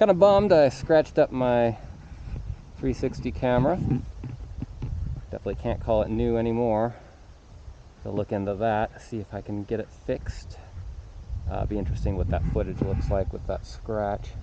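A man at a moderate pace with long, frequent pauses, dry sound with no echo, and light background noise. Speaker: rider vlogger. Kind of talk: casual vlog chat. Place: forest. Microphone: phone near.

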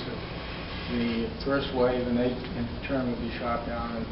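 Noticeable background noise sits behind this man. He talks at a moderate pace. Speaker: presenter. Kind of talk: lecture. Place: meeting room. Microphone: camera far.

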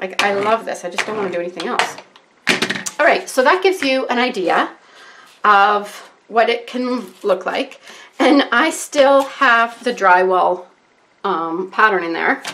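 At a fairly slow pace, a woman speaks with a fairly high pitch and lively intonation. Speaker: art tutorial YouTuber. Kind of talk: tutorial. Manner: rambling, scattered. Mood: enthusiastic, relaxed.

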